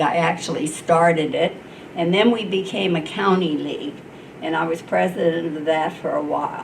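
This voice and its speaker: A woman speaks with a fairly low pitch and ordinary pitch variation. Noticeable background noise and audible room echo fill the recording. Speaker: retired nurse, civic league member. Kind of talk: panel storytelling. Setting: panel with student audience.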